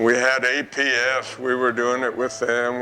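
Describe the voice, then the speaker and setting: The voice belongs to a man. Background noise is noticeable throughout. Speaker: retired businessman. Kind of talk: interview. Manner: halting.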